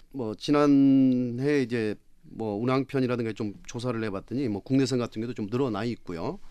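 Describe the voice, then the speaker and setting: A man at a moderate pace, medium in pitch, with a dark, mellow tone. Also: ordinary pitch variation. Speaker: travel agency executive. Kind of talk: panel debate.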